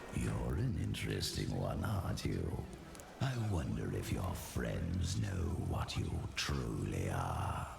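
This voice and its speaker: Over loud background noise, a man performs a put-on character voice. A slight echo can be heard. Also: fairly slow pace. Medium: machinima. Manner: sly, condescending.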